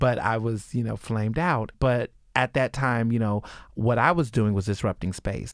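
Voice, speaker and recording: Recorded very cleanly against a silent background, a man talks in a normal speaking voice at a medium pitch and moderate pace, with ordinary pitch variation and a dry, close, echo-free sound. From Texas. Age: 20s. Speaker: journalist. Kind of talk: interview.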